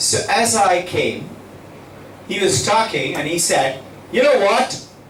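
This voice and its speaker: Noticeable background noise and audible room echo around a man with lively intonation. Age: 70s. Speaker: school head addressing students. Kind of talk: motivational talk to students.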